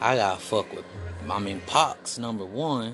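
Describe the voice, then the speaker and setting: With music in the background, a man with an American accent speaks at a fairly slow pace and with ordinary pitch variation. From US West Coast, Los Angeles. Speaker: rapper. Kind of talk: casual chat.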